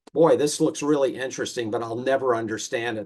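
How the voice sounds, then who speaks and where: The speech has ordinary pitch variation in a very clean recording with a silent background. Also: man. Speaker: mathematics professor. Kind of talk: lecture. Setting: talk with audience. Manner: halting, many fillers.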